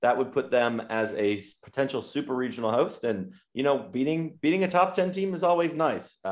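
With hardly any pauses, a man in a normal speaking voice talks at a moderate pace, his fairly high pitch carrying lively intonation. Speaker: podcast host. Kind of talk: casual chat.

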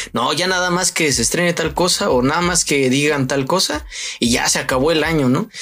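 A man with a Mexican accent, fairly high pitch, ordinary pitch variation, very even loudness and a fairly quick pace, over noticeable background noise. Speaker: podcast host. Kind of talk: casual chat.

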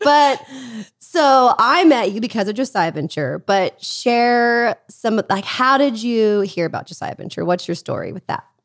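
A woman speaks in a plain, everyday voice at a fairly high pitch and moderate pace. The recording is very clean, with a silent background. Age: 30s. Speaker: podcast host, former missionary. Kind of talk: casual interview chat; scripted intro and outro. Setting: in person at guest's home.

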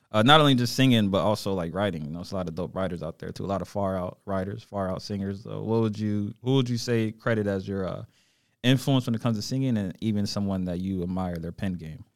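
Very fast speech from a man with an American accent, fairly low in pitch with ordinary variation, on a very clean recording against a silent background. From Charlotte, North Carolina. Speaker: podcast host. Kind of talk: casual chat. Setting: studio.

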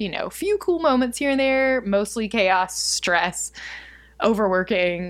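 A woman with an unremarkable speaking voice talks at a fairly slow pace. Her pitch is fairly high, and her intonation is lively. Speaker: podcast co-host. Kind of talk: casual chat.

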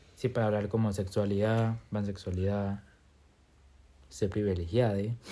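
A man's dark, mellow, fairly low voice in a Costa Rican accent, monotone and flat in intonation at a moderate pace. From Costa Rica, Limón. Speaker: podcast co-host. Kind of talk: casual chat.

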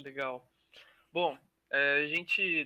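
The voice belongs to a man with fairly high pitch. Its tone is bright and sharp. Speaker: student podcast co-host. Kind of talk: interview.

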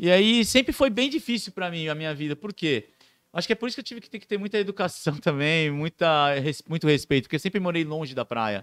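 Very fast and high-pitched, a man's voice swings widely in pitch and loudness, recorded very cleanly with a silent background and a dry, close sound with no echo. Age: 20s. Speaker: clown and surfer. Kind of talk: casual chat.

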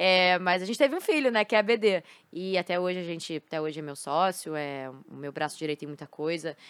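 A woman's fairly low, plain, everyday voice with lively intonation and big swings in loudness, on a very clean recording with a silent background and a dry, close sound with no echo. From Rio de Janeiro, Brazil (Botafogo). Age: 20s. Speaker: esports team CEO and former pro gamer. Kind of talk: casual interview. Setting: studio.

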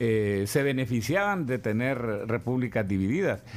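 A man speaks in a plain, everyday voice at a medium pitch. His intonation is lively and his pace fairly slow. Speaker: economist. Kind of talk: interview. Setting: studio.

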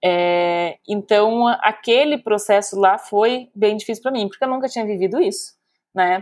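A woman speaks fairly slowly at a medium pitch in an unremarkable speaking voice. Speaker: psychologist and podcast co-host. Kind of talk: casual chat.

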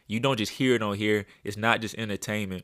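The American accent comes through in flat, monotone intonation, with a dry, close sound, no echo, and a very clean recording over a silent background. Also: man. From US South, Birmingham, Alabama. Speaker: podcast host and landscaping business owner. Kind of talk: casual monologue with faith talk. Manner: halting, many fillers.

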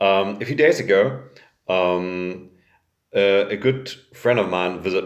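A man's fairly low voice in a German accent, with lively intonation, a very slow pace, and audible room echo. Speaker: podcast host. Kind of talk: casual chat.

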